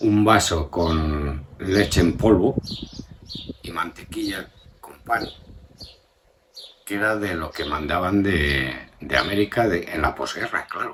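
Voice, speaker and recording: A man's very deep, low voice at a very slow pace, with ordinary pitch variation, big swings in loudness and long, frequent pauses. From Spain, Burgos (Castile). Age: 70s. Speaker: grandfather interviewed about his life. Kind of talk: family oral history interview. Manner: hesitant, with many fillers and repetitions.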